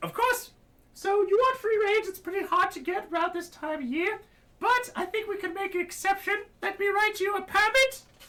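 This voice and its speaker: A squeaky, put-on character voice with an extremely high pitch moves along at a moderate pace. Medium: actual play. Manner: chipper, fussy.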